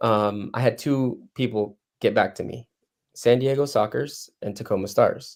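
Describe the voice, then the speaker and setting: This is a man talking. He has a Spanish accent. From Mexico, Cozumel area. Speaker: soccer coach. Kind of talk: interview.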